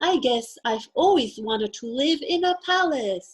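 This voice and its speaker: A woman puts on a character voice at a high pitch. She keeps a moderate pace. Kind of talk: children's storytime reading. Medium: read story. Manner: wide-eyed, wondering.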